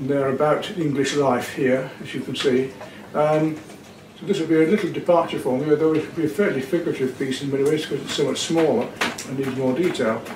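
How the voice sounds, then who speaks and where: A man races along at a very fast pace, his pitch varying in an ordinary way, with noticeable background noise behind him. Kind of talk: tutorial. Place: home room. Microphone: camera far.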